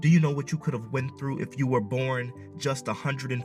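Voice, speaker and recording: A man's intense voice at medium pitch with ordinary pitch variation, with music in the background. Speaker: spoken word poet. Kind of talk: spoken word poetry performance. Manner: intense, impassioned.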